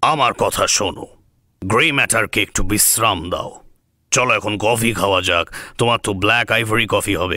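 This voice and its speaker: A man does a put-on character voice at a medium pitch and moderate pace, on a very clean recording with a silent background. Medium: audio drama. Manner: measured, explanatory.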